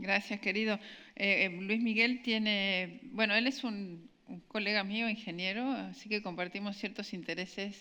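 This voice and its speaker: On a very clean recording with a silent background, a woman with a bright, sharp tone speaks at medium pitch with fairly even intonation. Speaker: event moderator and engineer. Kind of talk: speaker introduction. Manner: fast.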